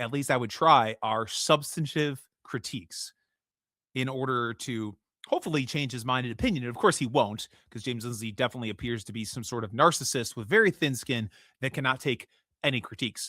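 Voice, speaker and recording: A man with a Midwestern American accent talks at a fairly quick pace in a bright, sharp tone with ordinary pitch variation, his dry, close sound carrying no echo on a very clean recording with a silent background. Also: medium pitch for a man. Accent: generic Midwestern American. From US Midwest. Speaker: podcast host. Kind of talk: solo commentary podcast. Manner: casual, with frequent fillers and restarts.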